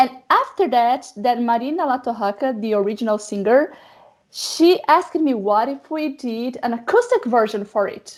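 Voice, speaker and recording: With a Portuguese accent, this voice moves at a moderate pace with ordinary pitch variation over a very clean recording and a silent background. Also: woman, high pitch for a woman. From Brazil. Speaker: metal singer and actress. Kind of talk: interview.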